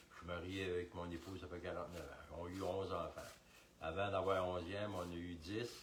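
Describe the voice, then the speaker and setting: The voice is somewhat breathy and fairly quick, with monotone, flat intonation and audible room echo. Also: man, very deep, low pitch for a man. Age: 70s. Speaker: retired police officer. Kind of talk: casual chat. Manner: halting.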